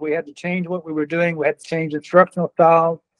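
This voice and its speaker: This is a man speaking. His pitch is high. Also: quiet background. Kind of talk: interview answer. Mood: reminiscing, warm. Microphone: phone line.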